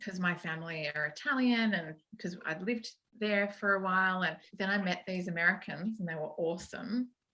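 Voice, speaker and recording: With an Australian accent, this bright, sharp voice moves at a moderate pace with ordinary pitch variation. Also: woman. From Australia, Sydney. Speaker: sound editor. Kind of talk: interview.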